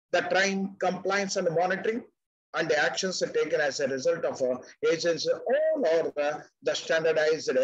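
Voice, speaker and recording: The background is quiet as a man speaks with a high pitch. His pitch varies in an ordinary way, and his loudness stays very even. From India. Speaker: retired banker and finance expert; webinar presenter. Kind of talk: webinar presentation. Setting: video call. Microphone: webcam.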